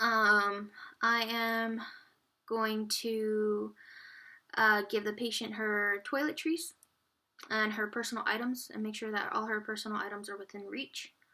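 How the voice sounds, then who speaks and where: Speaking at a fairly slow pace, a woman with a fairly high voice leaves long, frequent pauses. Her intonation stays fairly even. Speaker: nursing student. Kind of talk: skills demonstration narration. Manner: halting, many fillers.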